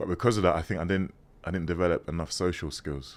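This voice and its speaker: A man with a London accent and a very deep, low voice speaks at a very fast pace with ordinary pitch variation, on a very clean recording with a silent background. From London, England (born in Ghana, moved at 6). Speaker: former model turned priest. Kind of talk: interview conversation. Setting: podcast recording. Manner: casual, hesitant with fillers.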